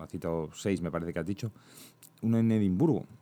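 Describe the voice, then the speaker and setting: A man speaks at a fairly low pitch with ordinary pitch variation. His tone is dark and mellow. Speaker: podcast host. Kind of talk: casual chat.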